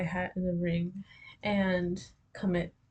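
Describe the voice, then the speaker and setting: A woman's somewhat breathy voice. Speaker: vlogger. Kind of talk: casual monologue, journal-style. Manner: slow; halting, many fillers.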